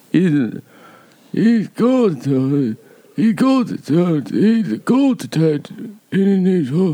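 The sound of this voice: Putting on a character voice, a man speaks in a high pitch at a very slow pace.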